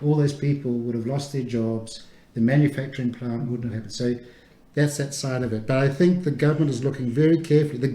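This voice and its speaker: With a New Zealand accent, a man speaks very fast in a somewhat breathy, dark, mellow tone at medium pitch with ordinary pitch variation. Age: 60s. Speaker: immunologist, research institute director. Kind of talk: radio interview. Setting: radio studio.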